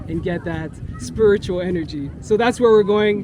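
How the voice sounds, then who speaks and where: A high-pitched man with a Montreal accent and ordinary pitch variation, over noticeable background noise. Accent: Montreal Canadian English. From Montreal, Quebec. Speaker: public speaking coach. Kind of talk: casual interview while running.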